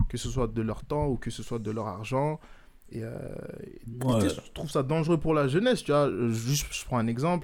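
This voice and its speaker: A man's animated, fairly high voice at a fairly slow pace, with ordinary pitch variation. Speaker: podcast host. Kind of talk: casual chat.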